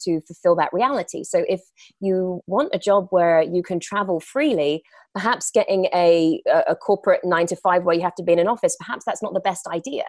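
A woman with an English accent speaks at a moderate pace in a medium pitch. The sound is dry and close, with no echo. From England. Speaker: actress and entrepreneur. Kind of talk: interview.

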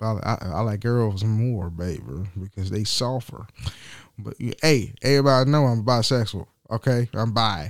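At a moderate pace, a man speaks with lively intonation and a medium pitch. The recording is very clean, with a silent background. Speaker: podcast host. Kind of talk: casual monologue. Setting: home studio. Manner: halting.

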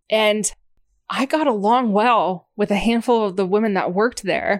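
A woman speaks at a moderate tempo in an unremarkable speaking voice, fairly high in pitch with ordinary variation, captured in a very clean recording against a silent background. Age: 30s. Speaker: co-host. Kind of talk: casual chat.

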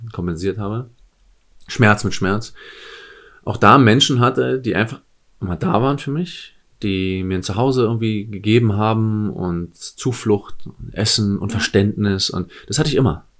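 A man with a plain, everyday voice talks at a fairly slow pace and fairly low pitch with ordinary pitch variation, recorded very cleanly against a silent background. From eastern Germany, near the Polish border. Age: 30s. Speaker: sports coach and former nightclub bouncer. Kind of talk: casual chat.

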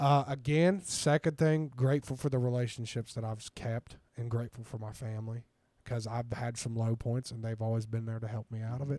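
A man's dark, mellow voice at a medium pitch with an American accent, fairly quick pace and fairly even intonation, dry and close with no echo, in a very clean recording with a silent background. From southern Ohio (Ironton). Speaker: former college football player. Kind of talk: casual interview.

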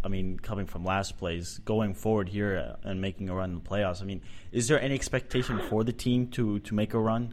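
In a normal speaking voice, a man with an American accent talks at a moderate pace and a fairly low pitch with ordinary pitch variation. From Boston. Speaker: soccer podcast host. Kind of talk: casual chat.

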